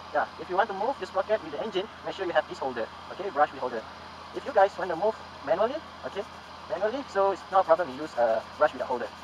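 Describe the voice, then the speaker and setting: Very fast speech with very wide pitch swings and big swings in loudness over noticeable background noise. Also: man, high pitch for a man. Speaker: motovlogger. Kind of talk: tutorial.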